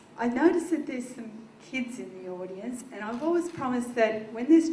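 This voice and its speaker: The voice carries an Australian accent and a dark, mellow tone, with lively intonation at a moderate pace. Room echo is audible. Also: woman. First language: Dutch. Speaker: state politician. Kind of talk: ceremonial speech.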